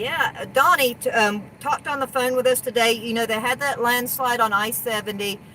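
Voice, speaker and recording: Noticeable background noise fills the clip. The speaker hardly pauses at all. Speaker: RV hauler and live stream co-host. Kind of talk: casual live stream chat. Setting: live stream. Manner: fast talker.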